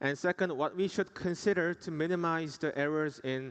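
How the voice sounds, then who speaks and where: The speaker has a Korean accent and ordinary pitch variation, over a quiet background. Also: man. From South Korea. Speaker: dentist. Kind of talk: conference presentation. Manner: formal.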